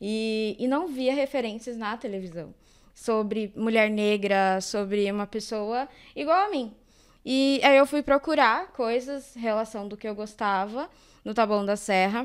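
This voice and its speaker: At a fairly slow pace, a woman speaks with a fairly high pitch and ordinary pitch variation. The recording is very clean and the background silent. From São Paulo, Zona Sul (Campo Limpo). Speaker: actress and social educator. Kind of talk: podcast interview.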